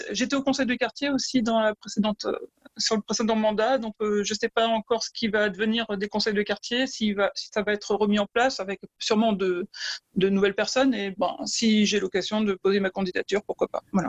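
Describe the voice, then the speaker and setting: Fairly high-pitched and somewhat breathy, a woman speaks at a fairly quick pace with fairly even intonation in a dry, close sound with no echo. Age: 40s. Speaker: unelected municipal election candidate. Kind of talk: remote interview. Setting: internet call.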